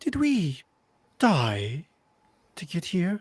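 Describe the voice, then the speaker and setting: A man performs a put-on character voice at a high pitch. His pitch swings very widely. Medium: actual play. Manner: polite, hesitant.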